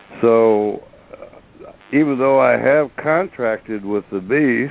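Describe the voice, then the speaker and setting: Noticeable background noise surrounds a man who talks at a very slow pace, his pitch varying in an ordinary way. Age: 70s. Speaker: caller. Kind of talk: call-in question.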